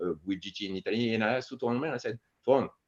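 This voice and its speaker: A man speaks at a fairly quick pace with a French accent. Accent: French accent in English, Franglish. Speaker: martial arts instructor. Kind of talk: interview conversation. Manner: halting, frequent restarts and fillers.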